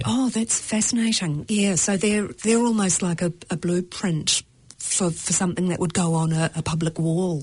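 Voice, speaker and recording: A woman in a New Zealand accent speaks at a fairly low pitch, with ordinary pitch variation and very even loudness. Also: fairly slow pace. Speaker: radio show host, interviewer. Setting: studio.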